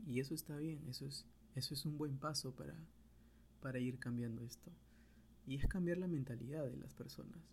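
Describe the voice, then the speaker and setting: A man at a fairly quick pace, with long, frequent pauses. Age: 20s. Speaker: podcaster, architect and photographer. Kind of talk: solo monologue podcast. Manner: halting, with frequent repetitions.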